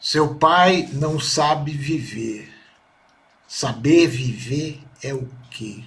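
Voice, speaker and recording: Somewhat breathy speech with ordinary pitch variation and audible room echo. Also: man. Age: 60s. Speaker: son giving testimony about his mother. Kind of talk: personal testimony. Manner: halting.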